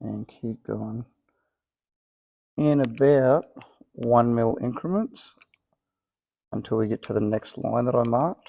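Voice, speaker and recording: Mumbling in an Australian accent, a man talks at a fairly slow pace with long, frequent pauses, using a medium pitch and ordinary pitch variation. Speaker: home car restorer. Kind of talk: workshop tutorial.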